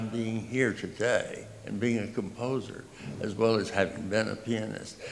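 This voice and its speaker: With an American accent, a man speaks at a medium pitch and a moderate pace. His intonation is fairly even, and there is audible room echo. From US South, Texas (Tyler). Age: 80s+. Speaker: composer. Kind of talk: speech to audience. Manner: halting.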